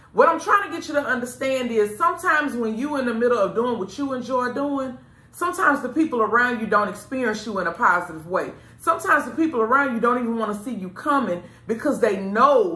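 The speech comes very fast, with audible room echo. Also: woman, high pitch for a woman. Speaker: show host giving advice. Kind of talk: casual advice talk to camera. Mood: earnest, reflective. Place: studio.

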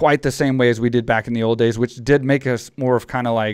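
In a dry, close sound with no echo, a man with a normal speaking voice talks at medium pitch with fairly even intonation. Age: 40s. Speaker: podcast host and retired MMA fighter. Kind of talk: casual interview chat. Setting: video call.

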